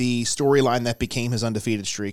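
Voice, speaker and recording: In a normal speaking voice, a man talks at a moderate pace with a medium pitch. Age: 30s. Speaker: wrestling podcast co-host. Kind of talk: casual chat.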